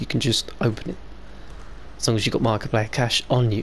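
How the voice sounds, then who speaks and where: The speaker is a man with a British accent. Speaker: gaming YouTuber. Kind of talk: casual gameplay commentary.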